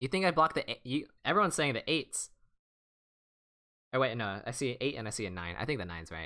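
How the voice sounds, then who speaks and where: A man of medium pitch speaks very fast in a bright, sharp tone with vocal fry and very wide pitch swings. He leaves long, frequent pauses, and the recording is very clean with a silent background. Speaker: online board game streamer. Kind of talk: live gameplay stream commentary. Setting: live stream.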